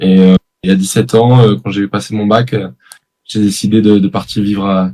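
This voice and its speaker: With a plain, everyday voice, a man speaks at a fairly low pitch with ordinary pitch variation. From southern France (Aix-en-Provence). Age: 20s. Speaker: professional padel player. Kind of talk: interview.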